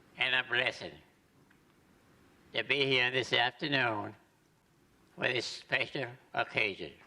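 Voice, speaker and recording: A man with an American accent, a bright, sharp tone and vocal fry, at a very slow pace with lively intonation. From Florida, US (Bartow). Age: 100s (101 years old). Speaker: retired professional golfer being honored. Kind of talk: short acceptance speech. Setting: city commission meeting chamber.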